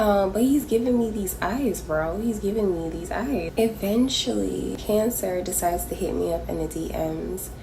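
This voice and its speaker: A woman speaks with hardly any pauses in a room with audible echo and noticeable background noise. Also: moderate pace. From Jamaica. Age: 20s. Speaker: storytime vlogger. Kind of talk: casual storytelling. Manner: animated.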